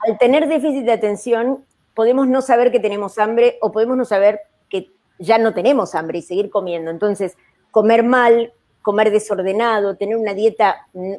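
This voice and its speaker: The woman's fairly high voice carries a dark, mellow tone and ordinary pitch variation. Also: moderate pace. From Argentina. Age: 60s. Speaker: psychiatrist. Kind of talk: panel discussion. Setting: live video stream.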